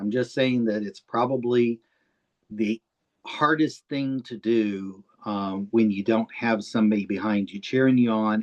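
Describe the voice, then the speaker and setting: A man speaks at a moderate pace in an unremarkable speaking voice of medium pitch with ordinary pitch variation. The sound is dry and close, with no echo. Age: 60s. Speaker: author interviewing another author. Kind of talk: interview. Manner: conversational, warm.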